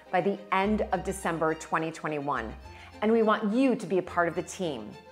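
A woman's voice at a moderate pace, with faint music in the background. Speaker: presenter. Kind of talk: crowdfunding appeal to camera. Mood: warm, enthusiastic. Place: kitchen. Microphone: lapel.

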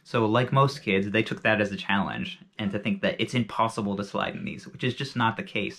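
A man talks at a fairly quick pace and a fairly low pitch, with a fairly bright tone, vocal fry and ordinary pitch variation.

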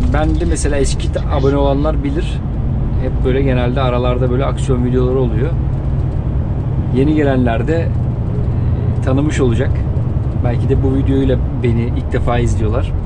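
The speech moves at a moderate pace, broken by long, frequent pauses. Loud background noise runs underneath. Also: man. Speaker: truck driver vlogger. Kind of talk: casual vlog chat. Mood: relaxed, amused. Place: car.

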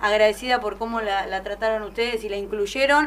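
In a normal speaking voice, the speaker moves at a fairly quick pace with fairly even intonation over light background noise. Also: woman. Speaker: sports radio host. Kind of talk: radio interview. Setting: studio. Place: studio.

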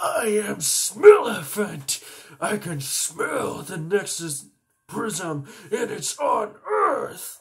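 A raspy, put-on character voice from a man, high-pitched for a man, at a very slow pace

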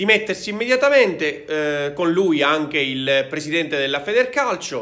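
A loud man speaks at a fairly slow pace. His tone is bright and sharp. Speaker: football commentator. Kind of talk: angry rant. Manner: loud, furious, indignant. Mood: angry, indignant. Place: home room. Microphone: phone near.

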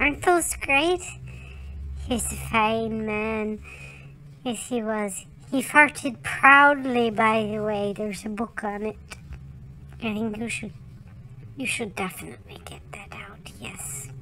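A cartoonish character voice that sounds female speaks at a fairly slow pace. Long, frequent pauses break it up, and background noise is clearly heard. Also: fairly high pitch for a woman. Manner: hesitant, folksy, jovial.

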